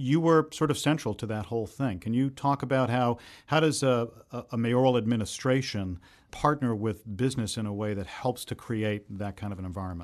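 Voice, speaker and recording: With an American accent, a man uses an ordinary speaking voice at a medium pitch, talking at a fairly quick pace with ordinary pitch variation against a quiet background. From Boston, Massachusetts. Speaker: podcast host. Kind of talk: interview; scripted narration.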